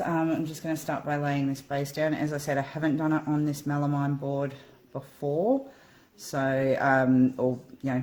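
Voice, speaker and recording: With an Australian accent, a woman with a very deep, low pitch and a dark, mellow tone speaks at a moderate pace. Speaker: acrylic pouring hobbyist. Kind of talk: casual tutorial vlog. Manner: casual, hesitant with many ums.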